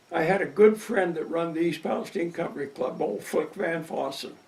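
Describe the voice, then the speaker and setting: With noticeable background noise and audible room echo, a man with an American accent speaks at a moderate pace in a high pitch. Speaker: retired local resident. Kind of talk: interview.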